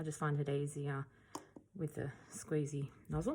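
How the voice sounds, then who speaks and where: Speaking at a fairly slow pace, the woman has a very deep, low pitch, a somewhat breathy quality and a dark, mellow tone. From Australia. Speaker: acrylic pour artist. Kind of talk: tutorial. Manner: casual, hesitant with fillers.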